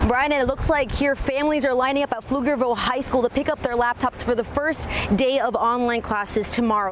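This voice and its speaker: Over noticeable background noise, a woman speaks fairly quickly in a high pitch. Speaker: television news reporter. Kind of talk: live shots and stand-ups, on location.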